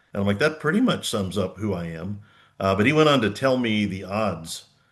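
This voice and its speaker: Against a quiet background, a man with an American accent speaks at a fairly quick pace and a fairly low pitch. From Oklahoma. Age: 60s. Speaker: former BMX racer and track operator. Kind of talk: podcast interview.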